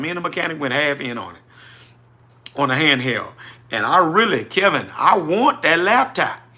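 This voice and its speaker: An animated man with a New Orleans accent, a bright, sharp tone, very wide pitch swings and a moderate pace. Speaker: trucking business owner, livestream host. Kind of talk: livestream chat reading viewer comments. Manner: casual, animated.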